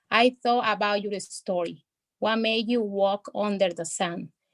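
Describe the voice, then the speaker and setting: With a Spanish accent, a woman speaks at a fairly high pitch in a dry, close sound with no echo. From El Salvador. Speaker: poet. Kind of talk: poetry reading; casual chat. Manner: halting.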